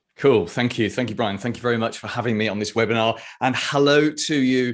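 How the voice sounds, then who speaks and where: A man rattles along at a very fast pace against a quiet background. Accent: British. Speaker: marketing consultant. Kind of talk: webinar presentation. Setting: video webinar.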